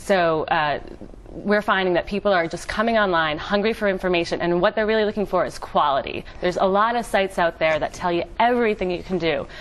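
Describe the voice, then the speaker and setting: A woman at a fairly quick pace with an American accent, medium in pitch with ordinary pitch variation, over noticeable background noise. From United States. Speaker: entrepreneur. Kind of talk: TV interview.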